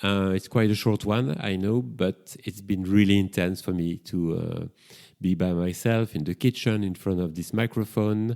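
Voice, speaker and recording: On a very clean recording with a silent background, a man with a strong French accent speaks at a moderate pace in a dark, mellow tone, fairly low in pitch with ordinary pitch variation. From Belgium, Brussels. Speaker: psychotherapist and podcast host. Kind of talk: solo podcast monologue. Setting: home kitchen.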